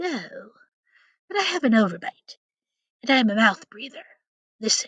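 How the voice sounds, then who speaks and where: In a put-on character voice, a female-sounding speaker goes at a moderate pace with a high pitch and very wide pitch swings. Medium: read story. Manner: polite, mild.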